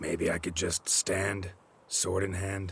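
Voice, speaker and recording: In a put-on character voice, a man sounds raspy and very deep, low in pitch, talking at a fairly slow pace. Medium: video game. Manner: dry, deadpan.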